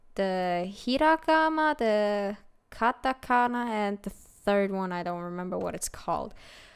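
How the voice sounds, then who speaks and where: In a Swiss German accent, the speaker goes at a fairly slow pace with lively intonation on a very clean recording with a silent background. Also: woman, medium pitch for a woman. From Switzerland (German-speaking). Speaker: gaming video creator. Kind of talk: casual let's-play commentary.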